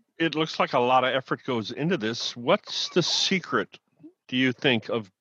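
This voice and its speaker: Speaking with an American accent, a man uses a bright, sharp tone at a medium pitch. His pitch variation is ordinary and his pace moderate. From US Midwest. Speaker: author and interviewer. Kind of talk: interview, conversational.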